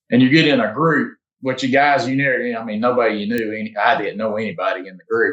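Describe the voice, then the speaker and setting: The speaker has an American accent and a very fast pace. Loudness swings widely, while pitch variation is ordinary. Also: man, medium pitch for a man. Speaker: competitive archer. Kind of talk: casual interview. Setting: podcast. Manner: halting, repeats words.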